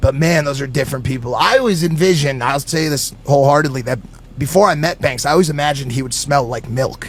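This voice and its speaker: Fairly high-pitched male speech at a fairly quick pace amid noticeable background noise. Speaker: podcast guest. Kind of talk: casual chat. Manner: animated.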